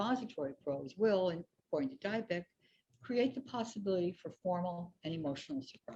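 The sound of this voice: Quiet background behind an unforced reading voice with lively intonation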